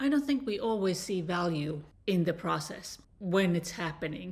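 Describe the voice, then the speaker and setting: The speech moves at a fairly slow pace in a somewhat breathy voice. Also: woman. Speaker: dating and relationship coach. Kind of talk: personal story to camera.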